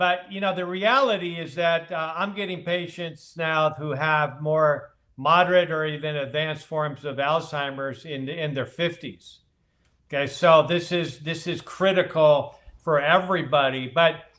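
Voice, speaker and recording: In an American accent, a man talks with an ordinary speaking voice, fairly high pitch, fairly even intonation and a fairly slow pace. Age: 60s. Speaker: physician. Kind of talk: interview.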